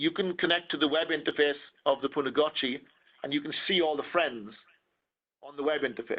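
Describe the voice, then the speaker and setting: A man with a Welsh accent speaks at a moderate pace. His pitch sits fairly high for a man, and his intonation stays fairly even. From Wales. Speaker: wireless security trainer. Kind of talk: technical presentation.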